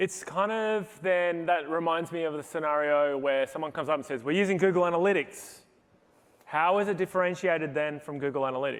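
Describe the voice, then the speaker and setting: This man has an Australian accent. His pitch is high. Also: ordinary pitch variation, fairly quick pace. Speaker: product marketing executive, session moderator. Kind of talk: conference panel talk. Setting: stage with audience.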